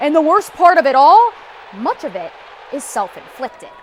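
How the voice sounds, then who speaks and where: With noticeable background noise behind her, a woman speaks at a moderate pace in a high pitch, making very wide pitch swings and big swings in loudness. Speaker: sports anchor / TV host. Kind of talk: TV sports news anchor read.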